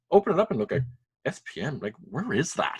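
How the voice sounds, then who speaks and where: Somewhat breathy and very fast, a man speaks with very wide pitch swings. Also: dry, close sound with no echo. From Saint-Pierre et Miquelon (French islands off Newfoundland). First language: French. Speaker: school principal and elected French delegate. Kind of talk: interview.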